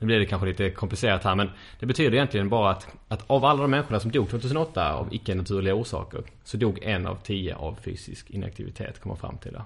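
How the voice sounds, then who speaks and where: Against a quiet background, a man talks very fast in a fairly low, somewhat breathy voice with ordinary pitch variation. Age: 20s. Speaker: neuroscience student and lecturer. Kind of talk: interview.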